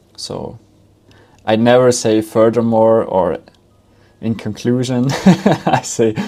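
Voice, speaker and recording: The speech moves at a very slow pace. It carries a non-native accent. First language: not English. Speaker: founder and content creator, AI tutorial maker. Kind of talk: tutorial. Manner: conversational, with filler words.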